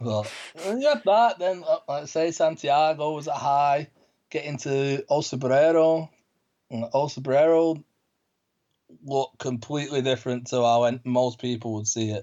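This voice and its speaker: Here a man speaks in a Manchester accent at a fairly high pitch. His pitch variation is ordinary and his pace moderate. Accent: Mancunian, northern English. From Manchester, northern England. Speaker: pilgrim guest. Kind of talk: casual interview.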